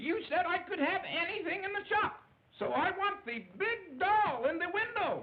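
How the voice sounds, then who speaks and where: At a moderate pace, a cartoonish character voice speaks at an extremely high pitch. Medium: puppet show. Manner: cheerful, kindly.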